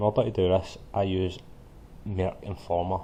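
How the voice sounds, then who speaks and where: A man with a Scottish accent, very deep and low in pitch, dark and mellow in tone, and somewhat breathy. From Scotland. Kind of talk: screen-recording software tutorial. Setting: poor-quality home mic.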